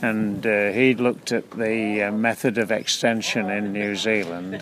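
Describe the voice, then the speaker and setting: A man's fairly low-pitched voice in monotone, flat intonation, over noticeable background noise. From England, Leicestershire. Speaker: farm management consultant. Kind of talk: interview. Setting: outdoors at a field day. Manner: halting.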